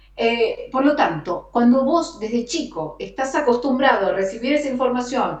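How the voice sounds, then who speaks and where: A woman with an Argentine accent speaks at a high pitch with lively intonation and a moderate pace. She barely pauses while music plays in the background. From Argentina. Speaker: radio announcer and host. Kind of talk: interview answer.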